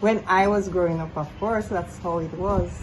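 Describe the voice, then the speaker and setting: Audible room echo follows a woman as she speaks. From Jamaica, rural Saint Elizabeth. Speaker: community foundation organizer. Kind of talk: interview.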